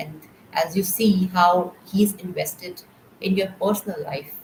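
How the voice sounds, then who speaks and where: Her pitch is medium and her voice somewhat breathy. The woman speaks at a fairly slow pace. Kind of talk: testimony. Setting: live stream. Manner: halting.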